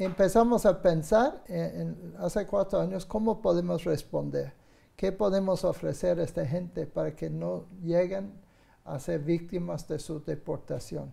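At a fairly slow pace, a man speaks in a high pitch with ordinary pitch variation. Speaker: guest. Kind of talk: interview answer. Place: studio. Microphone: lapel.

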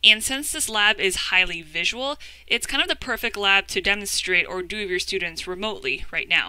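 A woman talks at a fairly quick pace in a bright, sharp tone, with a dry sound with no echo and a quiet background. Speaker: educator presenting a webinar. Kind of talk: webinar presentation. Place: home room. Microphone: webcam.

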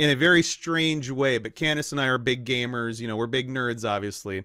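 Against a quiet background, a man's bright, sharp tone comes through with a dry sound and no echo. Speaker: podcast host. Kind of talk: casual interview. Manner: casual, laughs often. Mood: friendly, upbeat. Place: home room.

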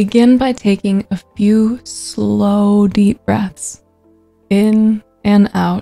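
Over faint music in the background, a woman speaks at a very slow pace. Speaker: meditation guide. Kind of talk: guided meditation. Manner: calm, soothing, slow-paced. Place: home room. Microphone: studio mic.

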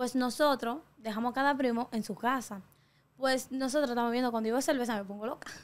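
A woman talks at a fairly quick pace with a high pitch and fairly even intonation. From Dominican Republic, La Caleta near Boca Chica; Dominican Republic. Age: young. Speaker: TikToker; interview guest. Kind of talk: interview. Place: studio. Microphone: studio mic.

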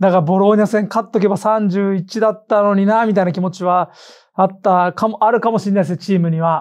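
Over a quiet background, a man with a high voice speaks at a fairly quick pace with fairly even intonation. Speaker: football podcast host. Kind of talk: casual chat. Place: studio.

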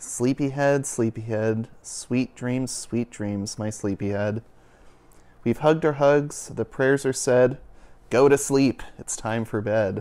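In a sing-song way, a man speaks with a soothing, calm tone that is dark and mellow. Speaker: youth and families minister reading a picture book. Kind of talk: bedtime story read aloud to children, rhythmic rhyming verse. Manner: warm, gentle, sing-song cadence; soothing, slow and calm. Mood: gentle, soothing. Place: home room. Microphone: lapel.

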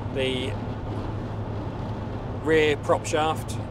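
A man is heard over noticeable background noise in a dry sound with no echo. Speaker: passenger vlogger. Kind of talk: casual vlog chat. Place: car. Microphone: lapel.

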